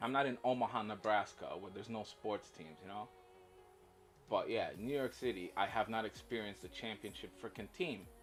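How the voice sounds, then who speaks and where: The voice moves at a fairly quick pace with ordinary pitch variation and big swings in loudness. Music plays in the background. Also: man, fairly low pitch for a man. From Poland. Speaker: gaming livestreamer. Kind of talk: casual livestream chat.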